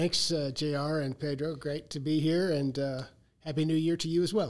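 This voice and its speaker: With a fairly high pitch, a man speaks at a moderate pace and with fairly even intonation. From US South, Arkansas. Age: 60s. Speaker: agricultural modeling researcher. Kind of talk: podcast interview. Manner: halting, many fillers.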